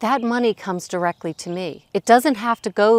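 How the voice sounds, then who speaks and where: The sound is dry and close with no echo. A woman speaks at a moderate pace with ordinary pitch variation. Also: very clean recording, silent background. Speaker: online business vlogger. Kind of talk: casual vlog update. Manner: frequent pauses.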